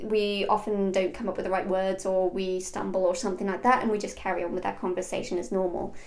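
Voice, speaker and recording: A woman talks at a fairly quick pace with audible room echo. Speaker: online business coach. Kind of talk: tutorial. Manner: fast; clear diction.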